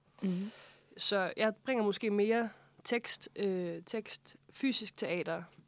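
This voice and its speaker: The delivery is very slow, with ordinary pitch variation. The sound is dry and close with no echo. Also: woman. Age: 20s. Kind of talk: casual interview. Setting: studio.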